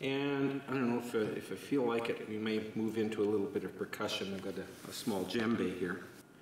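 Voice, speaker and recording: A man at a fairly quick pace with hardly any pauses and ordinary pitch variation, with audible room echo and light background noise. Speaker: sound bath meditation guide. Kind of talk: guided meditation. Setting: room with instruments. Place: church. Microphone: lapel.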